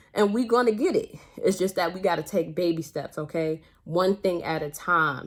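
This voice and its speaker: Animated in tone, a woman with an American accent speaks at a moderate pace in a fairly low pitch with ordinary pitch variation, on a very clean recording with a silent background. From Brooklyn, New York. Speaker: nurse and nursing mentor vlogger. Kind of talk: casual motivational vlog talk.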